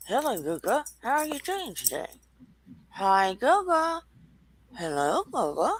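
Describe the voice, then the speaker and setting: A put-on character voice, female-sounding and high in pitch, with very wide pitch swings, a fairly slow pace and long, frequent pauses. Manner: greeting, friendly, mouth barely moving.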